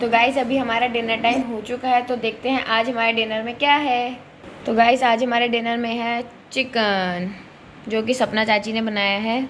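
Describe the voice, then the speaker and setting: Against light background noise, a woman speaks at a fairly slow pace in a monotone, flat way. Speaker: family vlogger. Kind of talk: casual vlog chat. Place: home room. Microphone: phone near.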